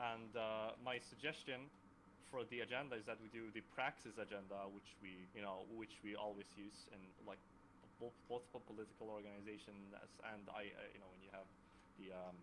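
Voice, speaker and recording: With a Swedish accent, a man of fairly low pitch speaks at a moderate pace, using fairly even intonation and big swings in loudness. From Sweden. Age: 20s. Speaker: student and democracy platform developer. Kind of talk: online meeting self-introduction. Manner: halting, with frequent stutters.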